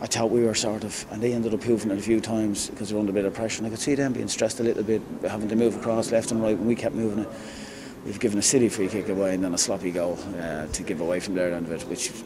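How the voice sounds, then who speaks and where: Noticeable background noise sits under a man speaking at a very fast pace. His pitch is fairly low and his intonation fairly even. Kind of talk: interview answer. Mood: disappointed, reflective. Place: empty room.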